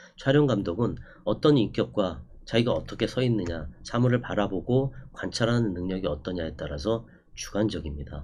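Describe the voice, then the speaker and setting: There is audible room echo as a man with a fairly low pitch speaks, his pitch swinging very widely. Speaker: documentary cinematographer and lecturer. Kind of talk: online lecture. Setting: recorded online class. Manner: fast; hesitant fillers.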